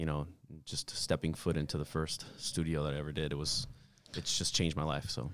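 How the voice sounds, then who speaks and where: Speaking at a fairly quick pace with an American accent, a man uses vocal fry and a very deep, low pitch on a very clean recording with a silent background. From New York (Bronx), later New Jersey. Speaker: martial arts instructor and military veteran. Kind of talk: casual interview.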